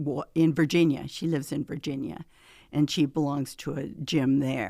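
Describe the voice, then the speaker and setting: On a very clean recording with a silent background, a woman with a Midwestern American accent speaks in a very deep, low pitch with a dark, mellow tone and monotone, flat intonation. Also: moderate pace. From US Midwest, Hastings, Nebraska. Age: 70s. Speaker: retiree and gym member. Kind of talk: casual interview. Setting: studio. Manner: halting.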